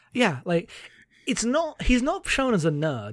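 Someone with a British accent is heard on a very clean recording with a silent background. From Britain. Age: 20s. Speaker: podcast co-host. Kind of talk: casual chat.

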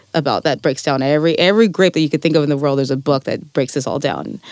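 With a Californian accent, a woman speaks at a very deep, low pitch. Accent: Californian American English. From California Central Valley (Fresno). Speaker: winemaker and farmer. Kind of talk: interview conversation. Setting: studio. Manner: halting, many fillers.

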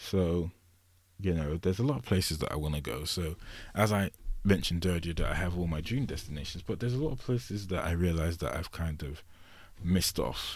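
A man with an English accent and a very deep, low pitch speaks at a fairly quick pace. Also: ordinary pitch variation. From England. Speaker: solo podcast host. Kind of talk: casual monologue. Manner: rambling, many fillers.

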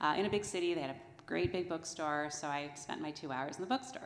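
The pitch varies in an ordinary way. There is audible room echo. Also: woman. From New Jersey. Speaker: church member. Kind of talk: testimony. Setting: church.

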